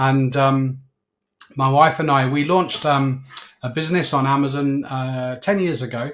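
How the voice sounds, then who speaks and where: A man with a southern English accent talks in a medium pitch. His pace is fairly slow and his intonation fairly even. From southern England (Slough, Berkshire). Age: 60s. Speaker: business owner. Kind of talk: interview.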